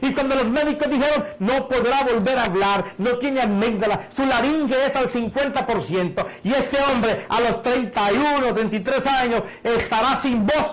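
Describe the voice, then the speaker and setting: Pitched extremely high for a man, this animated voice keeps a moderate pace and ordinary pitch variation, with noticeable background noise and audible room echo. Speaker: preacher. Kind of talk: sermon. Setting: internet broadcast.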